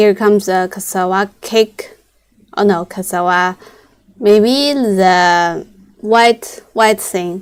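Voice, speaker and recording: A woman with a Chinese accent talks at a very slow pace in a medium pitch. Her intonation is fairly even. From China. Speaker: machinery salesperson. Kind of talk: live-stream sales pitch. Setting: live broadcast. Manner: halting.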